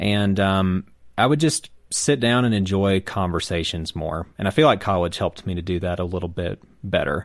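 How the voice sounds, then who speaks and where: Speaking with an American accent, a man uses a very deep, low pitch with ordinary pitch variation at a moderate pace, on a very clean recording with a silent background. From South Carolina. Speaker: roundtable panelist. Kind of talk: casual chat.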